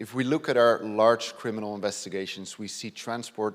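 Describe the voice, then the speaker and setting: This man talks at a fairly quick pace with a Dutch accent and a fairly low pitch. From Netherlands. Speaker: police detective inspector. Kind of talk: conference presentation. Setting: stage with audience.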